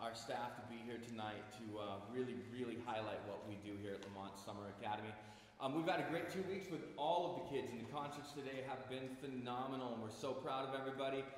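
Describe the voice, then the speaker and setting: Recorded with strong room echo and light background noise, a man talks at a very fast pace with ordinary pitch variation. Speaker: summer academy staff host. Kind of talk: welcome speech to a concert audience. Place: hall. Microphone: camera far.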